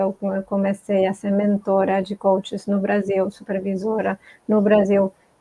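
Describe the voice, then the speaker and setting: A woman's medium-pitched voice, fairly slow, in a monotone, flat intonation. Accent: Spanish. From Argentina. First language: Spanish (speaking Portuguese). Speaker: multicultural coach. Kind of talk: interview on live stream.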